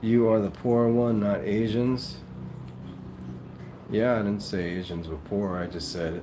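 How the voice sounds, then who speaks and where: A man with a New York accent speaks at a fairly slow pace and a fairly low pitch, with ordinary pitch variation, long and frequent pauses, and audible room echo. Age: 50s. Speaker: live streamer. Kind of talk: casual chat reading live comments. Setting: livestream.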